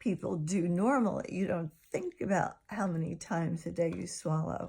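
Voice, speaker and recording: A woman's somewhat breathy, fairly low voice at a fairly slow pace, with ordinary pitch variation. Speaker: vlogger sharing chronic illness experience. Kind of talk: personal vlog monologue. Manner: slightly slurred at times.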